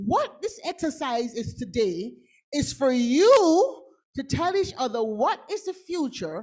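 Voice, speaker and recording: A woman with a Jamaican accent speaks in a high pitch at a very slow pace. Her pitch swings very widely. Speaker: futurist. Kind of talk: conference talk with audience exercise. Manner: animated.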